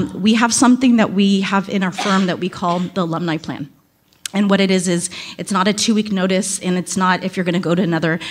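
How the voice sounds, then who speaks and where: At a very fast pace, a woman speaks at medium pitch with fairly even intonation. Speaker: talent acquisition advisor, audience member. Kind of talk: audience Q&A comment. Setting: speaking at a microphone in conference room.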